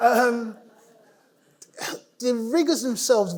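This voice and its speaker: A man with a London accent speaks with ordinary pitch variation. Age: 60s. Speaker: cancer patient. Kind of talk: conference talk. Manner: hesitant, informal.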